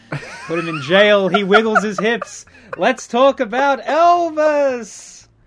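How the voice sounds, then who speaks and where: A man with an extremely high pitch, very wide pitch swings and a very slow pace, over noticeable background noise. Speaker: podcast host. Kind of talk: casual chat about movies.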